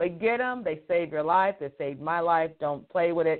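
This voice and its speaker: Ordinary pitch variation and a moderate pace in a woman's fairly low-pitched voice. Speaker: radio host and career coach. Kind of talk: live radio show monologue. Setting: radio studio broadcast. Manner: animated, upbeat, casual.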